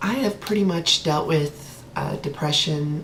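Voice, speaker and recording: A woman's very deep, low voice at a very slow pace, ordinary pitch variation, and noticeable background noise. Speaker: transgender woman vlogger. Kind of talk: casual talk to camera. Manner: hesitant, many filler words.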